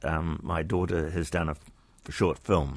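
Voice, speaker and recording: A man with a New Zealand accent. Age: 70s. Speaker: radio host. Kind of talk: casual chat.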